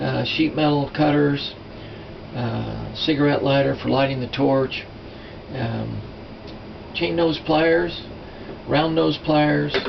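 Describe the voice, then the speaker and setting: Amid noticeable background noise and audible room echo, a man speaks at a very slow pace with long, frequent pauses. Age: 60s. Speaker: silversmithing teacher. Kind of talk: tutorial. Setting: workshop. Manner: casual, halting with fillers.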